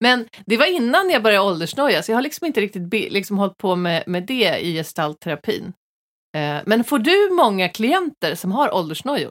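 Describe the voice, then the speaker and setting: In a very clean recording with a silent background and a dry, close sound with no echo, a woman with a fairly high pitch speaks at a moderate pace with very wide pitch swings. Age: 40s. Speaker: podcast host, comedian. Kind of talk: casual chat.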